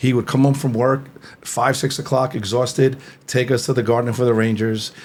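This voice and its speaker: The delivery is monotone and flat, with an American accent. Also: man. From New Jersey, Fort Lee (New York area). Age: 50s. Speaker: entrepreneur. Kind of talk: interview.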